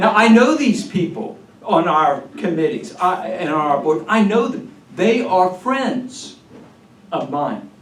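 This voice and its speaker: There's audible room echo as a man speaks at a fairly slow pace, high-pitched with lively intonation. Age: 70s. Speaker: retired pastor. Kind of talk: speech to a political meeting. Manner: animated.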